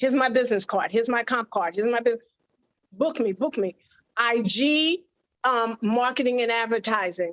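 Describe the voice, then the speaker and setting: A woman with a plain, everyday voice speaks at a moderate pace and fairly high pitch, with ordinary pitch variation and very even loudness. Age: 60s. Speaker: fashion model. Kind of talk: interview.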